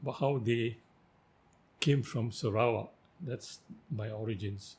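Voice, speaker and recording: A man talks fairly slowly at a medium pitch, somewhat breathy, with ordinary pitch variation. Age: 80s+. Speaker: writer. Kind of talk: interview.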